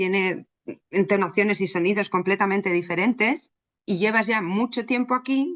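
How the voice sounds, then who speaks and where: Medium pitch and ordinary pitch variation from a woman at a moderate pace. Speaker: psychologist. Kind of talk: interview.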